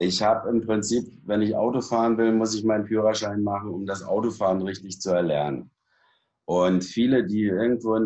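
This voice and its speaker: A man's fairly low voice has a dark, mellow tone, moving at a moderate pace with fairly even intonation. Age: 60s. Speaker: fitness and back-training expert. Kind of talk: interview. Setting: studio.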